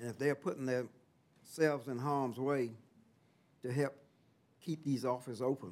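Moderate pace in a Southern US accent with ordinary pitch variation. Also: man. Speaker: county commissioner. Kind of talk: public meeting.

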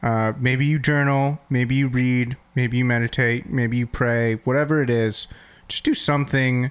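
An unremarkable speaking voice from a man, medium in pitch, fairly slow and fairly even in intonation, on a very clean recording with a silent background. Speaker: podcast co-host. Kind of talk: casual interview chat.

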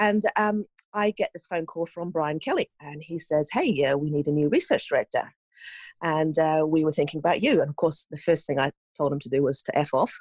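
A woman with a very deep, low pitch and ordinary pitch variation talks at a fairly quick pace, recorded dry and close with no echo. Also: quiet background. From Norway. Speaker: chiropractic researcher. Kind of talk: interview.

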